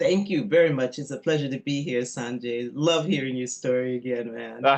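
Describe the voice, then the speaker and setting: Over noticeable background noise, a woman with an American accent speaks at a very deep, low pitch with ordinary pitch variation. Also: moderate pace. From New York City, US. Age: 60s. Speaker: chef and energy healer. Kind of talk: casual interview.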